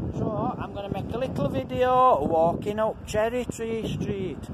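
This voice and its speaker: Against noticeable background noise, a man speaks very slowly in a high pitch with lively intonation. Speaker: walking vlogger. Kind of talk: casual vlog chat. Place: street. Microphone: phone near.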